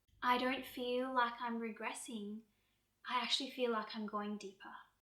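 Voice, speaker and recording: This woman has a high-pitched voice with a bright, sharp tone and a calm manner. Her intonation is fairly even and her pace is moderate. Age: 40s. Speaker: yoga and wellness creator. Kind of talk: personal vlog talk to camera. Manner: calm, reflective.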